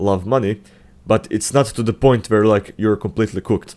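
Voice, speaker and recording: A man with a non-native accent speaks at a fairly low pitch with ordinary variation. The recording is very clean, the background silent. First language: not English. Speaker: self-improvement youtuber. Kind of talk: casual commentary video. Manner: halting, many fillers and restarts.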